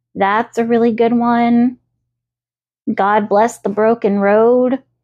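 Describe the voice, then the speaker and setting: A woman talks at a very slow pace. She has a slight Southern US accent. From US South. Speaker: podcast host. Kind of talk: casual solo podcast. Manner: chatty, filler-heavy.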